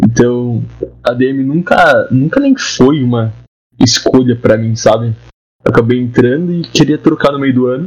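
With a normal speaking voice, a man of medium pitch talks at a moderate pace with ordinary pitch variation. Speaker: university student, podcast host. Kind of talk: casual chat.

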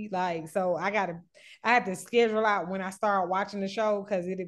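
A woman's medium-pitched voice with fairly even intonation, at a moderate pace against a quiet background. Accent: American. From Atlanta, US South. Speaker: beauty entrepreneur, reality TV charter guest. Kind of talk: casual podcast chat.

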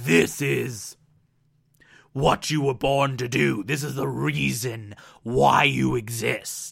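In a put-on character voice, a man growls at a very slow pace and a medium pitch. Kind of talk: self-admittedly poor impression. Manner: menacing, declaring destiny.

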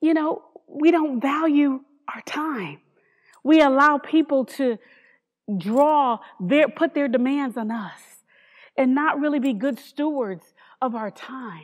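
A woman with an American accent and a high pitch speaks at a fairly slow pace, pausing long and often, in a very clean recording with a silent background. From New Haven, Connecticut. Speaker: pastor. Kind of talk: sermon. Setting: church with congregation.

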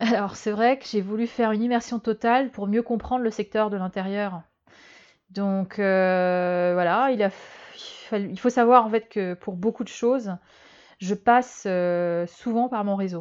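Against a quiet background, a woman at medium pitch speaks fairly slowly with fairly even intonation. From Algeria, Germany and Madagascar. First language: Malagasy (speaking French). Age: 30s. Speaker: fashion strategy consultant. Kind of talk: interview. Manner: hesitant, many fillers.

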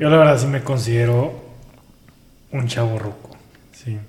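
The speaker has a Mexican accent and talks at a moderate pace with fairly even intonation. Noticeable background noise runs under the voice. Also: man. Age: 30s. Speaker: podcaster. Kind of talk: casual chat.

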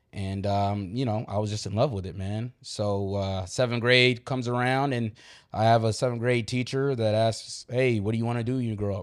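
In an unremarkable speaking voice, a man of medium pitch speaks at a moderate pace with an American accent and fairly even intonation. The recording is very clean, with a silent background. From New York. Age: 30s. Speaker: youth basketball tournament organizer. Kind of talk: casual interview chat.

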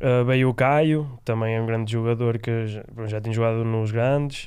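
A man with a medium-pitched voice talks at a moderate pace in a flat, monotone way. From Spain. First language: Spanish (speaking Portuguese). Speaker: roller hockey player. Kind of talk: casual chat.

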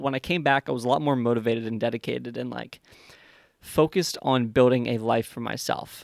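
A man speaks in a normal speaking voice at a fairly quick pace and medium pitch. His intonation stays fairly even, the sound dry and close with no echo. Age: 20s. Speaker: podcast host, business owner. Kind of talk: solo monologue, Q&A podcast. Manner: casual, many filler words.

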